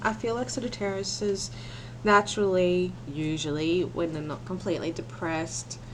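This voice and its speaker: A woman at a moderate pace, with audible room echo. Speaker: tarot reader. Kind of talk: tarot reading. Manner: soft-spoken; halting.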